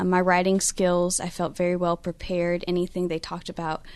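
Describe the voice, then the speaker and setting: A woman's fairly low voice at a fairly quick pace. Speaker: former student of the academy. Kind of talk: radio interview. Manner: articulate.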